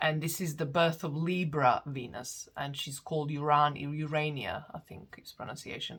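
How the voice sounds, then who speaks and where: A woman with a non-native accent speaks at a moderate pace in a very deep, low voice. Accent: foreign. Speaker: astrologer. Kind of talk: lecture. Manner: halting, many fillers and restarts.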